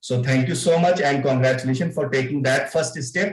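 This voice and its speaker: A man's somewhat breathy, medium-pitched voice in an Indian accent, with fairly even intonation. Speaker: club member giving evaluation. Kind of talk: spoken feedback in online club meeting. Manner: halting, many fillers.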